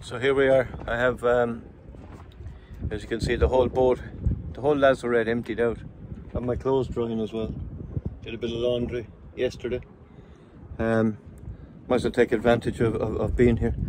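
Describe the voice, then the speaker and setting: Long, frequent pauses break up a man speaking at a fairly quick pace. His medium-pitched voice stays monotone and flat. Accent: Irish. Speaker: solo sailor vlogger. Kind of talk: casual video diary. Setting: on a boat at anchor. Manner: whispering; rambling, hesitant.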